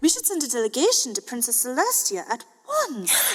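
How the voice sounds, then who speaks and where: A female-sounding put-on character voice sits high in pitch. The pace is moderate. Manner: warm, sympathetic.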